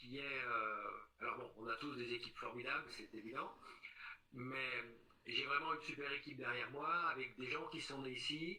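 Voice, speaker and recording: With fairly even intonation, a man talks at a moderate pace in a fairly high pitch, leaving long, frequent pauses. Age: 60s. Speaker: local election candidate. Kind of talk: interview. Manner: hesitant, many fillers.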